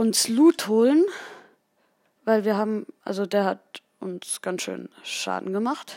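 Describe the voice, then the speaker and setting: Her tone dark and mellow yet fairly high in pitch, a woman speaks at a very slow pace with long, frequent pauses, the sound dry and close with no echo. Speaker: gaming video host. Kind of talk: live gameplay commentary. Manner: halting, many fillers.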